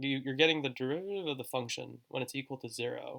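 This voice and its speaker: Fairly quick delivery with vocal fry and ordinary pitch variation. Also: man. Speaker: math tutorial maker. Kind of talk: tutorial. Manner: halting, many fillers and repeats.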